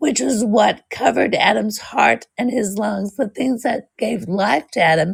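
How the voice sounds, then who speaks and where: With hardly any pauses, a woman talks at a fairly slow pace and medium pitch, her intonation lively and her voice showing vocal fry. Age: 60s. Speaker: author. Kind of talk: interview.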